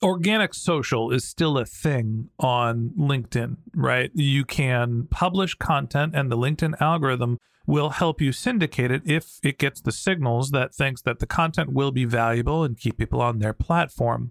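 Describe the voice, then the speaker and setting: Recorded very cleanly against a silent background, the sound is dry and close with no echo. A man speaks in a normal speaking voice with hardly any pauses, ordinary pitch variation and very even loudness. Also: medium pitch for a man, moderate pace. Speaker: podcast host. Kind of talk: interview.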